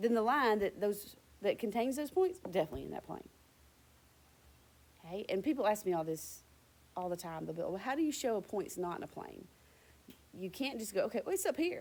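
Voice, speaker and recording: A woman's fairly high voice swings very widely in pitch. She moves at a fairly quick pace, broken by long, frequent pauses. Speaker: high school math teacher. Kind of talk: lecture. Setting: recorded video lesson on iPad. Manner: fast.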